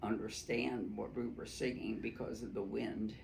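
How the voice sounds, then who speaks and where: A man speaks fairly slowly with an American accent. Room echo is audible around him. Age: 90s. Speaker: oral history interviewee. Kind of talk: oral history interview. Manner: halting, many fillers.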